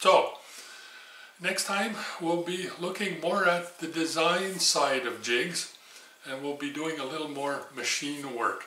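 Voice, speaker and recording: A man speaks at a fairly slow pace in a fairly high pitch with ordinary variation. Audible room echo and noticeable background noise surround him. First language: not English. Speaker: machining teacher. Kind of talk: tutorial. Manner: casual, folksy with filler words.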